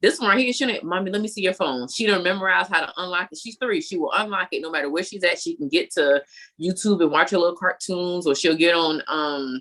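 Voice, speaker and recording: Her bright, sharp voice sits at a medium pitch for a woman, with ordinary pitch variation, a very fast pace, and hardly any pauses. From US South, Savannah, Georgia. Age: 30s. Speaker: army veteran and real estate investor. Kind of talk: casual chat.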